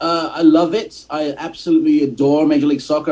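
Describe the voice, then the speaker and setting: Over noticeable background noise, a man with an English accent speaks at a fairly quick pace with fairly even intonation. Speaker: soccer podcast host and commentator. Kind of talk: casual podcast chat.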